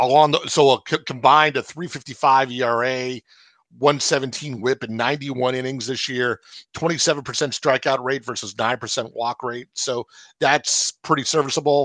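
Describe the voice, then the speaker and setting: A man with an American accent and a normal speaking voice talks at medium pitch and a moderate pace. His intonation is fairly even, and the background is quiet. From United States. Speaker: fantasy baseball analyst. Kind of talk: casual radio discussion.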